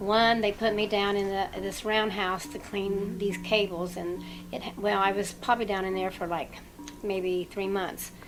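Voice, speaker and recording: A woman speaks at a fairly slow pace in a medium pitch, her intonation monotone and flat, with music playing in the background. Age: 60s. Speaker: former nuclear plant worker. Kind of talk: interview testimony. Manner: halting.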